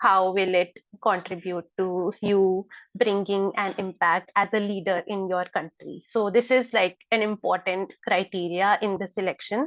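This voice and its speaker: A woman speaks with an Indian accent at a fairly slow pace. The sound is dry and close with no echo, over a quiet background. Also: medium pitch for a woman. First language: Hindi. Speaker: scholarship mentor. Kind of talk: online information session. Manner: hesitant with many fillers.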